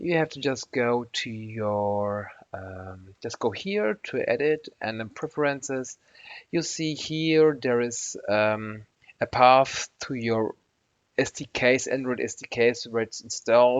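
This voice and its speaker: A man speaks very slowly with a non-native accent. His pitch is medium, with ordinary variation. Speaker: software tutorial maker. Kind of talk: screen-recorded tutorial. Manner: halting, many fillers and restarts.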